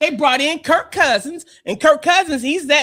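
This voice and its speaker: In a very clean recording with a silent background, a woman speaks in a raised, projected voice at a high pitch, with an animated tone and a moderate pace. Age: 60s. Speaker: sports podcast co-host. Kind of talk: casual sports debate.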